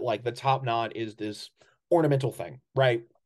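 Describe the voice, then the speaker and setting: A man speaks in a somewhat breathy voice. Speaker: guest expert on sumo. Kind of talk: casual chat. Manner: rambling, enthusiastic.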